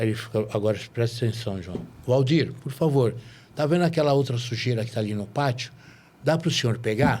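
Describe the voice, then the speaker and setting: A man speaks in an ordinary speaking voice at medium pitch, with ordinary pitch variation and a fairly quick pace. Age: 60s. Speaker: podcast host. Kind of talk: casual interview chat.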